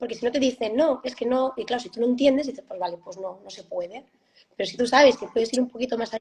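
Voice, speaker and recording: Talking at a very fast pace, a woman with a high pitch uses ordinary pitch variation while her loudness swings widely. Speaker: parent of gifted child. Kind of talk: interview conversation. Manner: halting.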